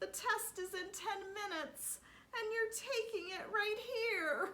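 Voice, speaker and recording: In a put-on character voice, a woman talks at a fairly slow pace with an extremely high pitch and a nervous, tearful tone. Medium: read story.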